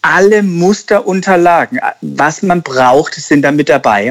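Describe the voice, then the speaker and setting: With lively intonation, the man speaks in a high voice. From Germany, Karlsruhe (Baden). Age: 30s. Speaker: insurance broker and entrepreneur. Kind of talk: podcast interview.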